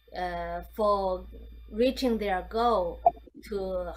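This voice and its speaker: The pace is very slow. A woman talks with audible room echo. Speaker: meditation teacher. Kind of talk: guided meditation talk. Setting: video call. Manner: halting, many fillers and repeats.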